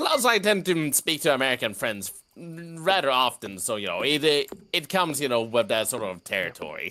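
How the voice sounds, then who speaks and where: With a slight Swedish accent, a man's bright, sharp voice moves through very wide pitch swings. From Sweden. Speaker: gamer friend. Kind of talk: casual chat while gaming.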